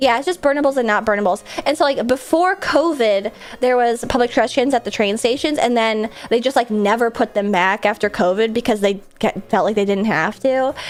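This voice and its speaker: Over noticeable background noise, a woman with a fairly high pitch speaks at a fairly quick pace in an animated tone with ordinary pitch variation. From US Midwest. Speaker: streamer. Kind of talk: casual chat.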